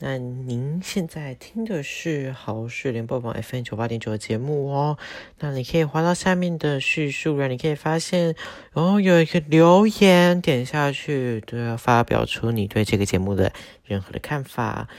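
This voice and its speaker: With lively intonation, a man speaks at a moderate pace in a fairly high pitch. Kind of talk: casual radio show talk. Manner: soft-spoken.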